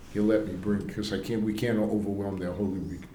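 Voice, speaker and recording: A man with an American accent speaks very fast in a fairly low, dark, mellow voice with monotone, flat intonation, and room echo is audible. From Cambridge, Massachusetts. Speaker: priest. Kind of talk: lecture. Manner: halting.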